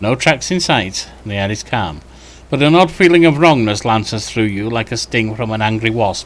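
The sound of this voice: Lively intonation from an unforced reading voice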